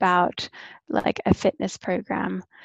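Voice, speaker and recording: Speaking with an Australian accent, a woman goes at a fairly slow pace. The sound is dry and close with no echo, over a quiet background. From Australia, Brisbane. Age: 30s. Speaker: online coach and personal trainer. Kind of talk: casual interview.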